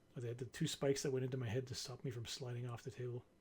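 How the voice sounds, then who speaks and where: Speaking very fast, a man has a dark, mellow, somewhat breathy tone. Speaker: vlogger recovering from brain surgery. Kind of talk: casual personal update vlog. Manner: halting, many repetitions and fillers.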